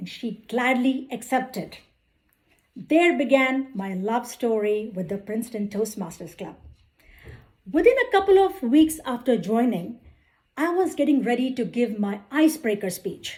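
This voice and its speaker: A woman speaks in an Indian accent with a high pitch and very wide pitch swings. Her pace is fairly slow. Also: big swings in loudness. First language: Indian language, not English. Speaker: accountant and club speaker. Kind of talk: prepared speech. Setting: club meeting with audience. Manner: formal.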